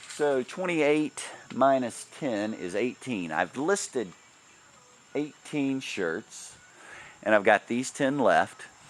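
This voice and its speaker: A man talks at a very slow pace with long, frequent pauses and very wide pitch swings around a medium pitch. Noticeable background noise is present. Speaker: ebay reseller vlogger. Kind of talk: casual vlog. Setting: garage.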